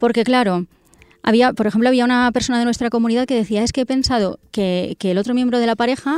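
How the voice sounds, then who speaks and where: Recorded very cleanly against a silent background, a woman talks at a very fast pace in a fairly high pitch with ordinary pitch variation and a dry, close sound with no echo. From northern Castellón, Spain. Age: 30s. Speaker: personal finance expert, website founder. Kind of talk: interview.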